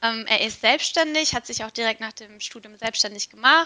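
A woman with a slight non-native accent speaks in a bright, sharp tone with ordinary pitch variation. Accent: near-native German, barely noticeable. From Turkey, Istanbul. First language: Turkish (speaking German). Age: 20s. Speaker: HR analytics project manager, psychologist. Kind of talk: interview.

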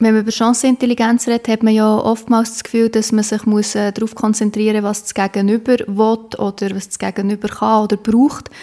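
A woman speaks at a fairly quick pace in a fairly high pitch, her intonation monotone and flat, with noticeable background noise behind her. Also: hardly any pauses. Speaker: podcast host. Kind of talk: interview.

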